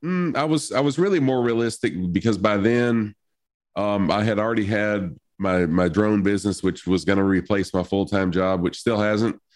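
A man's ordinary speaking voice, fairly low in pitch, at a moderate pace, with very even loudness against a quiet background. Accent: American. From US South. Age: 50s. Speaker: streamer. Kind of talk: casual chat.

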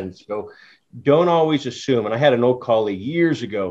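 A man's unremarkable speaking voice at a fairly quick pace, with lively intonation. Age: 50s. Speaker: cannabis podcast host. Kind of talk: casual interview.

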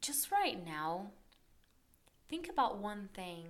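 A woman's medium-pitched voice with a Portuguese accent, at a fairly slow pace. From Brazil. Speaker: podcast host. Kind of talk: guided reflection; personal storytelling monologue.

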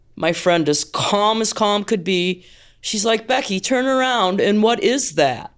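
A woman with an American accent speaks in a plain, everyday voice at a medium pitch and a fairly slow pace, with lively intonation. Her loudness stays very even, and the recording is very clean with a silent background. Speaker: sailor. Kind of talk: storytelling.

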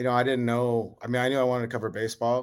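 Very clean, the recording has a silent background. In it, a man with an American accent talks very fast. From north central Montana. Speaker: sports journalist. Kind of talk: casual interview.

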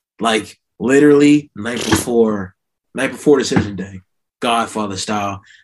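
At a fairly slow pace, a man with an unremarkable speaking voice talks at a fairly low pitch with fairly even intonation. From New Jersey. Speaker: recent college graduate. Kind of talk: casual chat.

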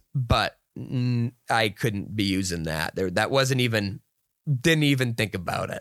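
A man with an unremarkable speaking voice talks at medium pitch and a fairly slow pace, with lively intonation. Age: 30s. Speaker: beer podcast co-host. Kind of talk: casual chat.

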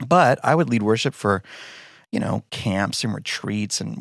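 A normal speaking voice from a man, fairly low in pitch and fairly slow, with a dry, close sound with no echo on a very clean recording with a silent background. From Texas, Denton. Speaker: worship pastor and songwriter. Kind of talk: interview.

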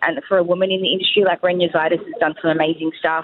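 Very fast speech in an Australian accent. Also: woman. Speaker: hairstylist and salon owner. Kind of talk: casual interview. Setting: phone or remote call from a cafe. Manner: loud.

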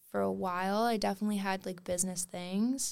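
With a Canadian accent, a woman talks at a moderate pace in an ordinary speaking voice of medium pitch. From Wales, moved to Canada at 8. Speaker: pop singer and producer. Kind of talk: casual chat.

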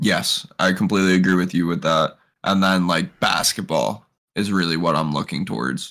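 With an American accent, a man speaks at a moderate pace in a very deep, low voice. His tone is bright and sharp, with vocal fry. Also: ordinary pitch variation. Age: 20s. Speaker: football podcast co-host. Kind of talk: casual chat.

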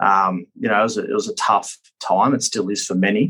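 A man talks with an Australian accent at a fairly quick pace. His pitch is fairly low. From Australia (Queensland). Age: 30s. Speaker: politician and war veteran. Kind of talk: interview. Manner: halting.

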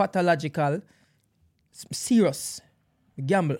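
Over a silent background in a very clean recording, a man with a fairly high pitch and a dark, mellow tone speaks at a moderate pace with ordinary pitch variation. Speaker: podcast host. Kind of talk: casual chat.

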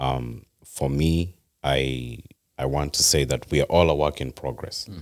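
This man's voice is very deep and low. His intonation stays fairly even. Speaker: podcast guest. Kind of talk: casual chat. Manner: passionate.

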